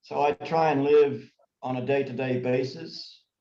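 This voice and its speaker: Fairly high in pitch and somewhat breathy, a man's voice carries the speech. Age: 70s. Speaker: tai chi and ski instructor. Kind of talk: interview.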